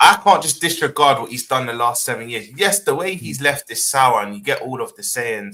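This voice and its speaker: This man has a London accent and a fairly high pitch with very wide swings. His bright, sharp tone jumps a lot in loudness, with hardly any pauses. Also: fairly quick pace. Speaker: football podcast panelist. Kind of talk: casual debate.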